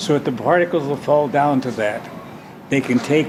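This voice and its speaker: A man with a fairly high pitch talks at a moderate pace while noticeable background noise carries on. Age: 90s. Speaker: inventor, nuclear scientist, war veteran. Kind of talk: interview answer.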